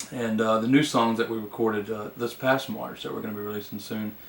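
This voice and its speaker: A man's medium-pitched, flat, monotone voice with a Southern US accent at a fairly quick pace. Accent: Southern country dialect. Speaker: country singer-songwriter. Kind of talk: interview. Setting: studio. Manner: hesitant, many fillers.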